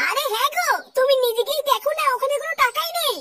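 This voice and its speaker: A woman uses a squeaky, cartoonish character voice, extremely high in pitch, with lively intonation at a fairly quick pace. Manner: fretful.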